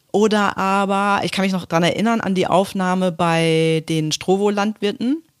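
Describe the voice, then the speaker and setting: A normal speaking voice at a moderate pace, with ordinary pitch variation and hardly any pauses, on a very clean recording with a silent background. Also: woman, medium pitch for a woman. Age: 40s. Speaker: corporate communications manager. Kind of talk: casual interview. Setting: office.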